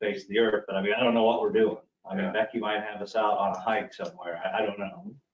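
A man's voice carries audible room echo. Light noise sits in the background. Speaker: official reporting to the board. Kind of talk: meeting report. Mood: relaxed, informal. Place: meeting room. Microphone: podium.

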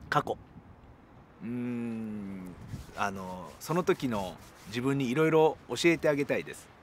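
A man at medium pitch speaks at a fairly slow pace with long, frequent pauses, lively intonation and big swings in loudness, in a dry sound with no echo and light background noise. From Japan, Ehime; Japan. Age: 40s. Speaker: rock band guitarist. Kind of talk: interview answers. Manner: hesitant, many fillers. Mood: relaxed, smiling, reflective. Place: open country.

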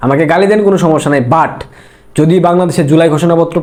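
A man speaks at a fairly high pitch with ordinary pitch variation. Noticeable background noise and audible room echo fill the recording. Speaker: political commentator. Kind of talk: political commentary monologue. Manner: animated.

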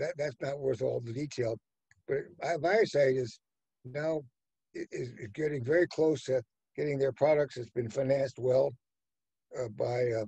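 A man with an American accent talks at a fairly slow pace, somewhat breathy and with ordinary pitch variation, leaving long, frequent pauses. The sound is dry with no echo, over a quiet background. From United States. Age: 80s+. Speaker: venture capitalist. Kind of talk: interview answer, storytelling. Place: home room. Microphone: webcam.

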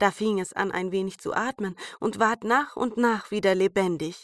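Speaking in a plain, everyday voice, a woman holds a medium pitch. Her intonation is fairly even and her pace fairly slow. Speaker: fairy tale narrator. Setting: home recording, rain outside. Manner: calm, soothing, storytelling pace with character voices.

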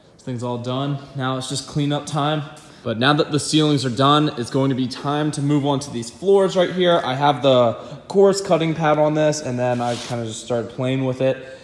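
There is audible room echo as a man speaks at a moderate pace with ordinary pitch variation and big swings in loudness. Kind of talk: casual vlog chat. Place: garage. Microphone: phone near.

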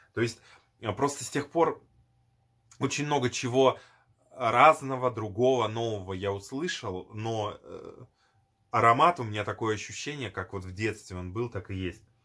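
A man speaks in a bright, sharp tone, his loudness swinging widely and broken by long, frequent pauses. The background is quiet. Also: medium pitch for a man, ordinary pitch variation, moderate pace. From former Soviet Union. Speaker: perfume video blogger; perfume reviewer. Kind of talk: product review. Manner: hesitant, many fillers. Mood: nostalgic, enthusiastic.

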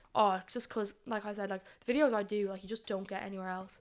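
Her intonation flat and monotone, a woman talks at a very fast pace against a quiet background. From Ireland. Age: 20s. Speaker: adult content creator. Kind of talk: casual chat. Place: studio. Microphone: studio mic.

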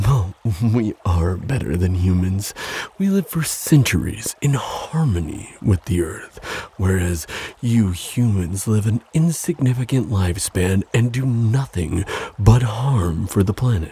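Putting on a character voice, a man speaks at a fairly slow pace with a fairly low pitch, a dark, mellow tone, a husky, rough edge and lively intonation.

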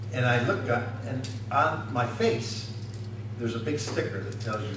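Loud background noise fills the recording. A man speaks at a moderate pace amid audible room echo. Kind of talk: comedic stage patter. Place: meeting room.

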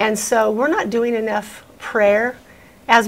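Delivered at a fairly slow pace, the speech keeps a fairly even intonation. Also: woman. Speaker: talk-show co-host, minister. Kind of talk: prayer and ministry talk show. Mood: earnest, devotional. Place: studio. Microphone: lapel.

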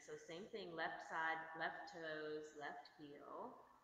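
A woman speaks with a bright, sharp tone at a fairly low pitch and fairly even intonation. Light background noise and audible room echo are present. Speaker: yoga instructor. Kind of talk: guided yoga class. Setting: online video class. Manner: loud. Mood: calm, soothing. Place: gym. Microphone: camera far.

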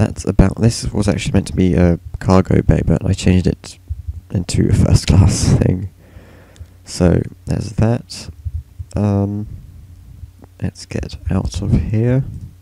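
With long, frequent pauses, a man speaks fairly slowly in a very deep, low voice with ordinary pitch variation over noticeable background noise. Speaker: gaming youtuber. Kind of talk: casual gameplay walkthrough narration. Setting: screen recording narration. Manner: casual, filler-heavy, hesitant.

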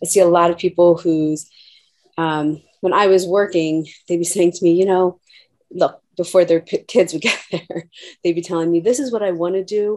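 A woman speaks in a plain, everyday voice, fairly low in pitch. Her moderate pace and fairly even intonation sit over a quiet background. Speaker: nurse practitioner. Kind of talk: casual discussion. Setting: video call. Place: home room. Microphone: video skipping connection; webcam.

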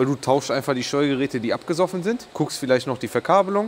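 A man at a very fast pace with light background noise. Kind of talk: casual vlog explanation. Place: workshop. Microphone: lapel.

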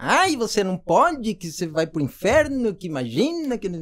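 A man speaks at a fairly slow pace. His high pitch swings very widely. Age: 30s. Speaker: podcast host. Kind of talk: casual interview. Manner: animated.

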